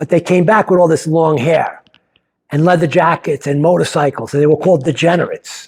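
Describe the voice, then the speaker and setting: In an American accent, a man talks in an ordinary speaking voice at fairly high pitch, with ordinary pitch variation and a fairly quick pace. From New York. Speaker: playwright. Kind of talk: personal storytelling. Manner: casual, conversational.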